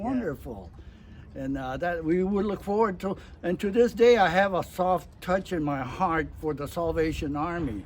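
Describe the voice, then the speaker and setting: A man speaks at a moderate pace in a high voice, his intonation lively. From Santa Monica, California. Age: 80s+. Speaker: WWII veteran. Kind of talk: interview answer.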